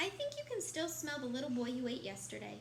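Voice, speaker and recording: A woman puts on a character voice and rattles along at a very fast pace. Background noise is clear. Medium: read story.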